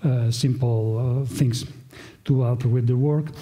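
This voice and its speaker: Amid audible room echo, a man with a medium pitch talks in fairly even intonation. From Italy. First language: Italian. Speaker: professor. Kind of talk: conference talk. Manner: halting, with fillers.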